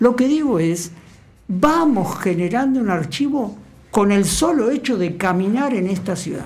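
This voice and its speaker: At a fairly slow pace, the speaker's pitch swings very widely, with audible room echo and noticeable background noise. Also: woman, medium pitch for a woman. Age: 60s. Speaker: archivist and university lecturer. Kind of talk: radio interview. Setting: radio studio.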